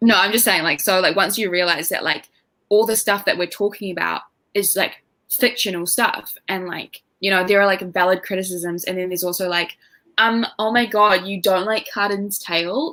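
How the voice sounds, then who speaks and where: This woman has a New Zealand accent and a medium pitch. Her tone is bright and sharp, with fairly even intonation. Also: moderate pace. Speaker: booktuber guest. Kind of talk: casual chat. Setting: livestream.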